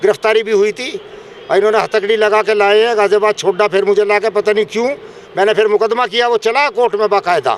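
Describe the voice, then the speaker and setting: A man speaks in a high pitch with monotone, flat intonation over noticeable background noise. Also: moderate pace. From India, western Uttar Pradesh (near Modinagar). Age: 70s. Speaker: farmer. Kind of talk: street interview.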